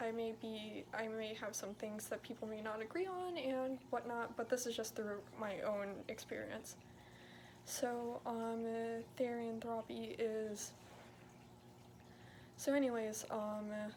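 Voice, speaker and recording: Noticeable background noise runs under this recording. A woman speaks very slowly at a fairly high pitch with ordinary pitch variation. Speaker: therian video creator. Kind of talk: casual talk to camera. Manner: hesitant, some stuttering.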